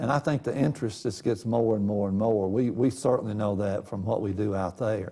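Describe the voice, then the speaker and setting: The speaker has a Tennessee accent and a dark, mellow tone, moving at a fairly quick pace with hardly any pauses and ordinary pitch variation. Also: man, fairly low pitch for a man. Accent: Southern US (Tennessee). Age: 70s. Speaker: local historian. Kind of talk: casual interview.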